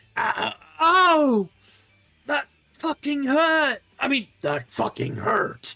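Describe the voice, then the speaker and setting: A put-on character voice delivers the lines at a high pitch and a very slow pace. Long, frequent pauses break up the speech. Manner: pained.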